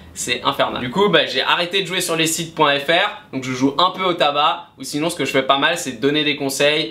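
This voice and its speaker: Hardly pausing, a man with a fairly high pitch talks at a moderate pace amid noticeable background noise. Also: ordinary pitch variation. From France, Nantes. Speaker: YouTuber on sports betting. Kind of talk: casual Q&A vlog.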